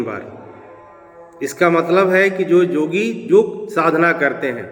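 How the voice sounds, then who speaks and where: This man's voice sits high. Its pitch moves in an ordinary way. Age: 60s. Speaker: health tips vlogger. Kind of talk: informal health talk to camera.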